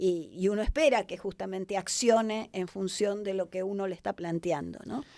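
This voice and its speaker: At a moderate pace with hardly any pauses, a woman speaks in a dark, mellow tone at medium pitch with ordinary pitch variation. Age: 60s. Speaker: hospitality business consultant. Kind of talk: podcast interview. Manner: hesitant with frequent fillers and restarts.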